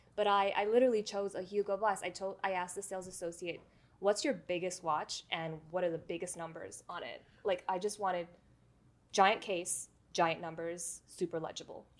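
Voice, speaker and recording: An ordinary speaking voice, fairly even in intonation and moderate in pace. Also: woman, medium pitch for a woman. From New York City (the Bronx). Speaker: watch collector and YouTuber. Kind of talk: casual interview chat.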